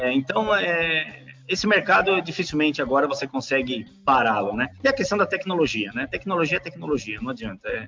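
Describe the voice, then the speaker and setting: Fairly high in pitch, a man's voice makes very wide pitch swings at a fairly quick pace. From Brazil, São Paulo city. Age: 40s. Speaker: engineer and company CEO. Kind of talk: interview. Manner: halting, frequent repetitions and fillers.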